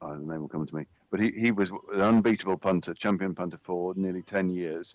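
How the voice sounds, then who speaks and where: A man speaks with a very deep, low pitch and ordinary pitch variation at a fairly quick pace. The sound is dry and close, with no echo. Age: 60s. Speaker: rowing race commentator. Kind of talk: live commentary.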